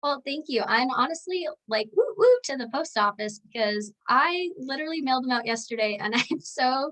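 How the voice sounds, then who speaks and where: Bright and sharp in tone, a woman's high-pitched voice is raised and projected. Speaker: author and book chat co-host. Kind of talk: casual chat.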